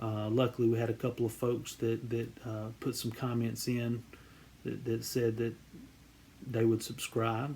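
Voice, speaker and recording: With a Southern US accent, a man speaks at medium pitch and a fairly slow pace. His intonation is monotone and flat, and his voice is somewhat breathy. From US South, central Georgia. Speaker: card collecting YouTuber. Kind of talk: casual vlog introduction. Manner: halting, many fillers and repeated words.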